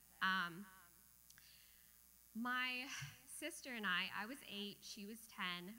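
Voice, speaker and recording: Her Midwestern accent comes with a fairly high pitch. This woman's tone is bright and sharp, with ordinary pitch variation. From Michigan, US Midwest. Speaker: amateur storyteller. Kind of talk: personal storytelling. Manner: casual, many fillers.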